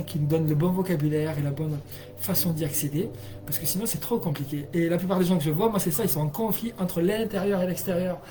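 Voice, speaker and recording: Someone speaks at a fairly quick pace. Music plays in the background. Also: man. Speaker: energy healer and hypnotherapist. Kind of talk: live stream talk. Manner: fast; animated.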